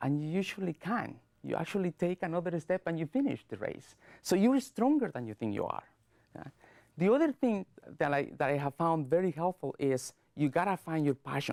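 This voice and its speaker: With a Latin American accent, a man speaks at a fairly quick pace in a high pitch with very wide pitch swings, recorded in a dry, close sound with no echo, very clean, with a silent background. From Guatemala. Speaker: public speaker. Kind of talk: speech. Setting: studio. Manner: fast; clipped word endings.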